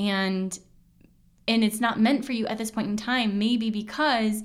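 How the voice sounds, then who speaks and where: At a moderate pace, a woman with a fairly high pitch and ordinary pitch variation talks in an unremarkable speaking voice. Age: 30s. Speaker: podcast host and intuitive coach. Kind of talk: casual solo monologue.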